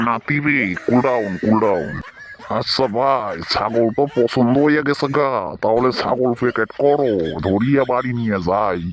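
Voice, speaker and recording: Doing a cartoonish character voice at a medium pitch, a man speaks at a moderate pace over clear background noise. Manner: exclaims 'oh my father' often.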